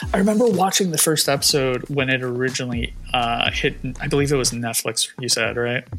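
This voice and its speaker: With hardly any pauses, a man speaks at a fairly quick pace and medium pitch with ordinary pitch variation, over noticeable background noise. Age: 30s. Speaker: comic book publisher staff. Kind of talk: casual chat.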